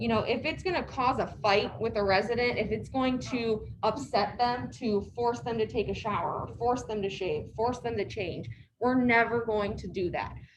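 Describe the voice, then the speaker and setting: A woman speaks softly at a moderate pace, with a fairly high pitch and lively intonation. She hardly pauses, and room echo is audible. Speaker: care community staff trainer. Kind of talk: staff training talk. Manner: soft-spoken, hard to hear.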